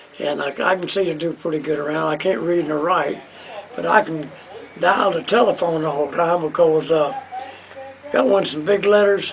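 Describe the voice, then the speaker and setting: The speaker goes at a moderate pace with ordinary pitch variation and long, frequent pauses, over noticeable background noise. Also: man, high pitch for a man. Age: 80s+. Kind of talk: interview answer.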